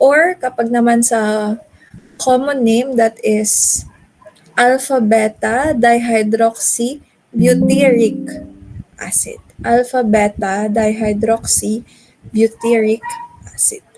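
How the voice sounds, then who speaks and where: Over music in the background, a woman speaks at a very slow pace with fairly even intonation and long, frequent pauses. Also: fairly high pitch for a woman. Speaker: chemistry teacher. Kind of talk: lecture.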